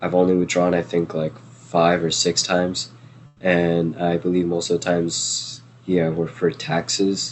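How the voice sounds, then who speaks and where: With music in the background, a man with a non-native accent and a very deep, low pitch speaks at a fairly slow pace in a monotone, flat intonation. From New Jersey. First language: not English. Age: 20s. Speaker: trading educator. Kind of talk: live Q&A stream. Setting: livestream. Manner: casual, many fillers.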